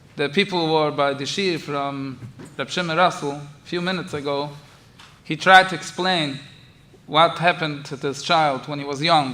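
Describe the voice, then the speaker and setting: A man speaks at a moderate pace with fairly even intonation. His voice has a bright, sharp tone and a fairly high pitch. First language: Yiddish. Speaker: rabbi. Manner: halting, many fillers.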